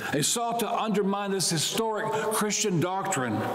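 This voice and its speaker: A man keeps a moderate pace while his words carry audible room echo. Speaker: priest. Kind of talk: sermon. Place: church. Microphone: lapel.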